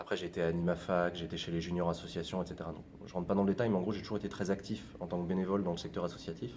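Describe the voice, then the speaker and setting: Very fast and in a monotone, flat intonation, a man speaks with a very deep, low pitch. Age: 20s. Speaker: YouTuber, former political adviser. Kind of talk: interview. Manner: casual, many hesitations.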